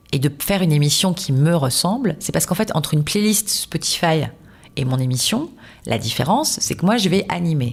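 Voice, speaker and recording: A somewhat breathy voice with very wide pitch swings at a moderate pace, on a very clean recording with a silent background. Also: woman. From southern France, Toulouse. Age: 40s. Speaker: radio host. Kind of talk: casual interview. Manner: animated, many fillers.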